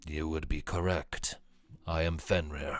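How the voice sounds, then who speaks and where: A man puts on a gruff character voice, very deep and low, at a fairly slow pace in a very clean recording with a silent background. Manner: calm, unreadable.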